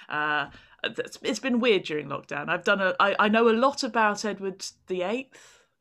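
Against a quiet background, a woman speaks at a moderate pace in a medium pitch with a bright, sharp tone and lively intonation. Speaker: comedian and author. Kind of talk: casual interview chat.

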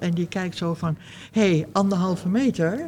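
In an ordinary speaking voice, a woman speaks at a fairly low pitch with ordinary pitch variation. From Netherlands. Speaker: sculptor. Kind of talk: interview. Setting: artists' residence.

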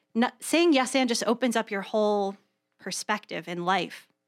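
An unremarkable speaking voice from a woman, with ordinary pitch variation, is heard dry and close with no echo on a very clean recording with a silent background. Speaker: improv performer and teacher, radio producer. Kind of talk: casual chat. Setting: studio. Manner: joking, quick banter.

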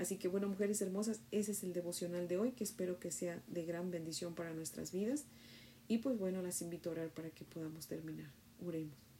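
A woman speaks at a fairly quick pace with a fairly low pitch. Her tone is dark, mellow and warm, and somewhat breathy. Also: lively intonation. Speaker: devotional teacher. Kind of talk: bible study devotional. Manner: warm, prayerful.

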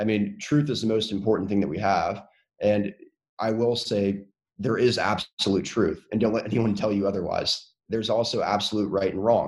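The speaker has an American accent, a moderate pace, and fairly even intonation. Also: man, fairly low pitch for a man. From North Carolina. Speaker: political candidate. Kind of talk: interview.

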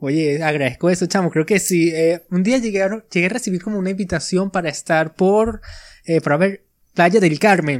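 A man speaks at a moderate pace in a Venezuelan accent, his pitch high with ordinary variation. The recording is very clean, the background silent. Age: 20s. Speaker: podcaster. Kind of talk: casual chat.

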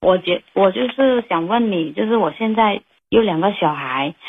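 Speaking at a fairly slow pace, a woman uses a medium pitch that swings very widely. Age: 30s. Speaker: caller. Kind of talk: personal problem call-in. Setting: phone call. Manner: halting, hesitant.

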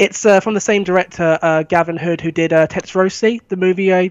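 A man with a southern English accent speaks at a high pitch and a fairly quick pace, the sound dry and close with no echo. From England, East Sussex. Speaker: film fan. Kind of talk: casual chat. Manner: halting.

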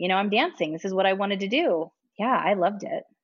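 A woman speaks at a fairly quick pace. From Ohio, US Midwest. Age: 30s. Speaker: podcast guest. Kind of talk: casual interview, personal story.

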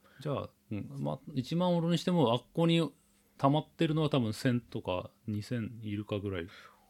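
A man speaks at a medium pitch and a moderate pace, his pitch swinging very widely. The sound is dry and close, with no echo. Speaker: podcast host. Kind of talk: casual chat.

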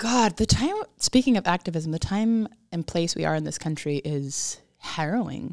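A woman with a normal speaking voice talks at a moderate pace in a dry, close sound with no echo and a very clean recording with a silent background. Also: fairly low pitch for a woman, lively intonation. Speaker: podcast host. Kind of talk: casual conversational interview.

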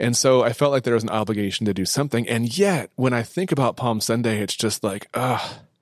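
A man's normal speaking voice, medium-pitched, at a fairly quick pace with hardly any pauses. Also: ordinary pitch variation. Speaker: church marketing and communications manager. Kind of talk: casual interview chat. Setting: studio.

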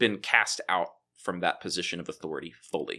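Recorded very cleanly against a silent background, a man with an American accent talks at a moderate pace. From Texas, Waco. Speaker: theology professor. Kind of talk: casual chat.

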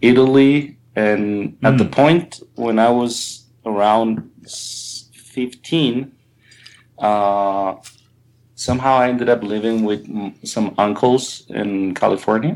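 Here a man with a Spanish accent speaks at medium pitch. His pace is very slow, with ordinary pitch variation. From Colombia, raised partly abroad. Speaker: album cover artist. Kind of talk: casual interview chat. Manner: halting, with many fillers and repetitions.

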